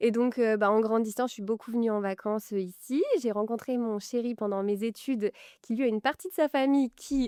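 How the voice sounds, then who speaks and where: A woman's fairly high voice, dark and mellow in tone, fairly quick in pace, with a dry, close sound and no echo. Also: ordinary pitch variation. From Normandy, France. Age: 20s. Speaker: fashion brand founder. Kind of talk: interview. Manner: hesitant, many fillers.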